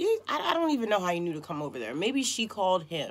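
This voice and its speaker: A woman with a Baltimore accent. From Baltimore, Maryland. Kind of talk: personal life story told to camera.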